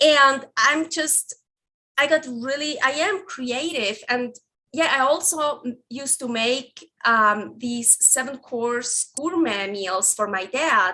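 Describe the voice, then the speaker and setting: Speaking very slowly with a non-native accent, a woman uses a raised, projected, high voice with a bright, sharp tone and lively intonation. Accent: foreign. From Switzerland. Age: 30s. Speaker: carnivore recipe developer. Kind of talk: podcast interview. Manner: halting, many restarts and fillers.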